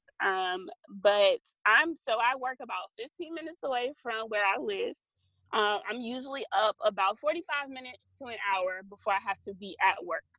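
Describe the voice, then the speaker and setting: A woman with an American accent, fairly high pitch and bright, sharp tone, lively intonation at a moderate pace, big swings in loudness, and a dry, close sound with no echo. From US South, Georgia (Valdosta). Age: 20s. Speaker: digital news reporter. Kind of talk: casual interview. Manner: hesitant, many fillers.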